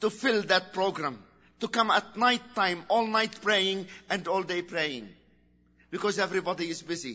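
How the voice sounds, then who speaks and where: Someone with an Arabic accent talks at a fairly slow pace with ordinary pitch variation. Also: man. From Lebanon. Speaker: preacher. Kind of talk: sermon. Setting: church.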